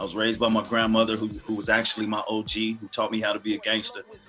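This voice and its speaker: A man with an American accent at medium pitch, with music in the background. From US West Coast, Los Angeles. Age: 40s. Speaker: gospel hip hop artist and minister. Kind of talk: interview testimony. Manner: halting, repeats words.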